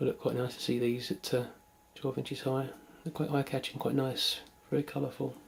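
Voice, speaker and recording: Speaking in a British accent, a man moves at a fairly quick pace. He leaves long, frequent pauses. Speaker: toy collector. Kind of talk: video tour narration. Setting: at home. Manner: casual.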